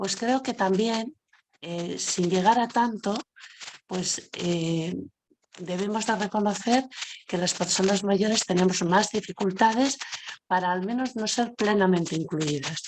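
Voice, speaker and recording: A woman has an ordinary speaking voice with a medium pitch. She talks fairly slowly, with ordinary pitch variation. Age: 60s. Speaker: panel speaker on social inclusion. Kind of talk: web seminar talk. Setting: web seminar. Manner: conversational with fillers.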